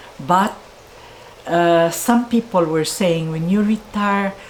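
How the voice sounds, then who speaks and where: A woman with a medium pitch and ordinary pitch variation is heard over noticeable background noise. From Philippines. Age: 80s+. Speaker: bookshop owner. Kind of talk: interview.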